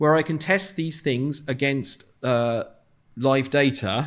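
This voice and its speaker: A man's medium-pitched voice with an ordinary pitch variation and a southern English accent, on a very clean recording with a silent background. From London, England. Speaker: software developer. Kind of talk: conference talk. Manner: fast.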